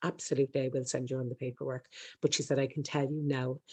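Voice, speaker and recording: In an Irish accent, a woman's voice carries a dark, mellow tone. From Ireland. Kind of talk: interview, personal story. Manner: very fast; stumbles over words.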